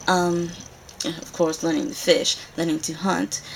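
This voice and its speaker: Moderately paced female speech against noticeable background noise. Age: 20s. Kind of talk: casual talk to camera. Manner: hesitant, awkward.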